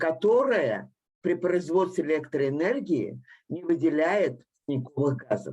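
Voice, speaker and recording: Her voice is dark and mellow, fairly low in pitch for a woman, with vocal fry. The woman's intonation is lively and her pace moderate. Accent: Russian. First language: Russian. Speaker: engineer, panel participant. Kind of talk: panel discussion.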